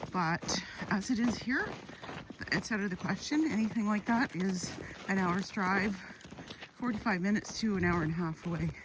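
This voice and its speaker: A woman's speech with long, frequent pauses and noticeable background noise. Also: medium pitch for a woman, ordinary pitch variation, moderate pace. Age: 60s. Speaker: YouTuber. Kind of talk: casual vlog monologue. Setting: outdoors on a walk with dogs.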